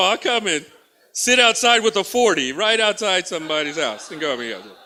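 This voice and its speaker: A man with an American accent talks at a fairly quick pace in a high, bright, sharp voice that is raised and projected, with an animated tone and lively intonation. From Texas. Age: 50s. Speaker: comedian. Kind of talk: stand-up. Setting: stage with audience.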